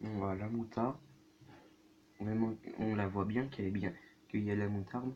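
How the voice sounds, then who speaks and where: A soft-spoken man's voice, dark and mellow in tone, fairly low in pitch, at a fairly slow pace. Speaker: youtuber. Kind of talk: food tasting vlog.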